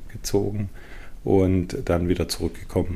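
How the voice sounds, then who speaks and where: At a moderate pace, the voice carries a dark, mellow tone with monotone, flat intonation. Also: man. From Schwenningen, Baden-Württemberg. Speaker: senior pediatric physician. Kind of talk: interview.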